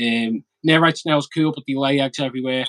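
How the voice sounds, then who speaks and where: With a strong Scouse accent, a man talks at a fairly quick pace and medium pitch with ordinary pitch variation, in a dry, close sound with no echo. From Liverpool, England. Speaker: aquarium hobbyist youtuber. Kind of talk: casual chat. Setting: live stream. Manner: fast.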